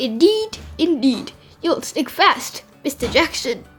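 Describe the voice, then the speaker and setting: Over faint music in the background, a woman uses a put-on character voice with an extremely high pitch and very wide pitch swings, talking at a fairly slow pace. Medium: read story. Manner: prim, fussy.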